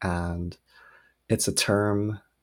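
Soft-spoken, a man talks with a very deep, low pitch and fairly even intonation. The recording is very clean, the background silent. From Hawaii (Oahu), born in South Korea. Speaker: novelist. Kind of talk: interview.

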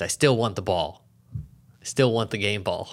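A man's ordinary speaking voice, fairly slow in pace, with ordinary pitch variation. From small-town US. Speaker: podcast host. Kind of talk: casual chat.

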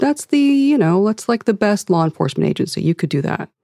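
A woman with an American accent, a dark, mellow tone and fairly high pitch, very wide pitch swings, a very fast pace, and a dry, close sound with no echo. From Ohio, US Midwest. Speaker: former FBI agent, civil rights advocate. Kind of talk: interview.

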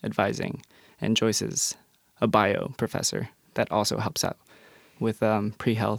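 A man with an American accent and vocal fry at a moderate pace, dry and close with no echo. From Colorado, Denver area. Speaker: university student. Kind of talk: casual interview. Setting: studio.

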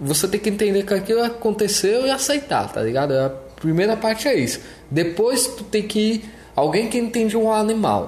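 This man has a high voice and lively intonation, speaking at a moderate pace. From São Paulo, then Brasília from age 10. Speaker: podcast co-host. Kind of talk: casual chat.

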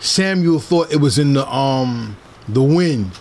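A fairly high-pitched man with a New Jersey accent, lively intonation, and a fairly slow pace, over noticeable background noise. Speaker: podcast host. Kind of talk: interview. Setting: in person.

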